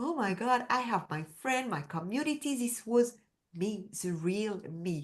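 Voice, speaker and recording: Her tone is animated as this woman speaks at medium pitch with lively intonation and a French accent. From France, Paris. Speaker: women's empowerment coach. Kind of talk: interview.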